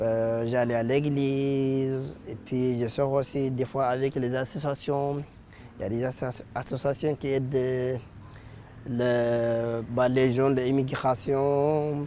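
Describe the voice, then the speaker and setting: At a very slow pace, a man speaks with a medium pitch and a monotone, flat intonation. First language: not French, learned in last seven years (speaking French). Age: 20s. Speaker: apprentice, young immigrant. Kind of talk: interview. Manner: halting, many hesitations.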